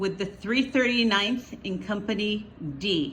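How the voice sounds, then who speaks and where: At a moderate pace, a woman talks in a medium pitch with an unremarkable speaking voice. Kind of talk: interviewer questions.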